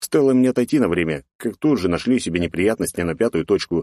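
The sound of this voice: Lively intonation from an unforced reading voice, quiet background behind it.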